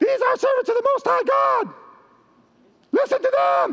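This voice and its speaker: A man puts on a character voice and speaks at a moderate pace. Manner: annoying, insistent.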